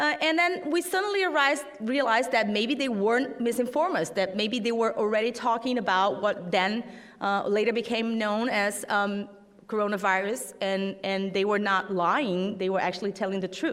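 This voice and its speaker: A woman with a Portuguese accent speaks at a moderate pace and a fairly high pitch, her intonation lively and her loudness very even, with audible room echo and noticeable background noise. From Brazil. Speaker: fact-checking network leader. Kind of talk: conference talk. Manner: halting, many fillers.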